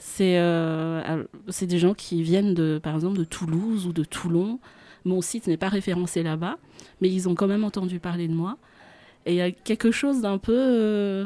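At a fairly slow pace, a woman with a plain, everyday voice speaks in a medium pitch with ordinary pitch variation, in a dry, close sound with no echo. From Madagascar, central highlands. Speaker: singing teacher and voice coach. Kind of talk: radio interview. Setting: radio studio.

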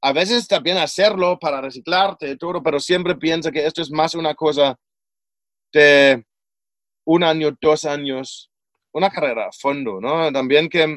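Fairly slow speech in a German accent. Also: man, fairly high pitch for a man, ordinary pitch variation. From Germany. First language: German (speaking Spanish). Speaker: personal development coach and author. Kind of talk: interview.

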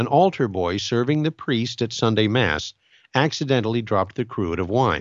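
Someone reads aloud plainly. The intonation is lively.

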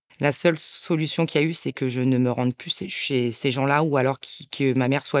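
Her pitch very deep and low, a woman talks with fairly even intonation in a dry, close sound with no echo. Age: 40s. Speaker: abuse survivor sharing her story. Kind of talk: testimony.

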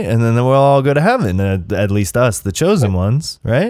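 Over a very clean recording with a silent background, someone talks at a moderate pace in a normal speaking voice. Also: man. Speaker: podcast host. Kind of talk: casual interview chat.

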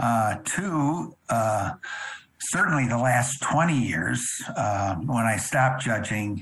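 Very slowly and at very even loudness, a man with a medium-pitched voice speaks with lively intonation. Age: 70s. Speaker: drum corps instructor and visual judge. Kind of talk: interview conversation.

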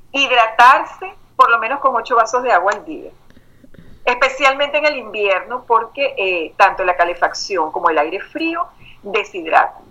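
This woman has a normal speaking voice with a fairly high pitch. She keeps a moderate pace. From Venezuela. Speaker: life and emotional intelligence coach. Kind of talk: interview.

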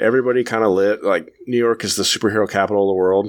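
With an American accent, a man speaks very fast at a fairly low pitch with ordinary pitch variation, in a very clean recording with a silent background. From California. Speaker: comic book podcast host. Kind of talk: casual chat.

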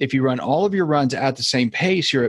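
The recording is very clean, with a silent background. A man with a plain, everyday voice talks at a fairly quick pace, medium in pitch with ordinary pitch variation. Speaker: foot and ankle surgeon; runner and podcast host. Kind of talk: casual interview chat.

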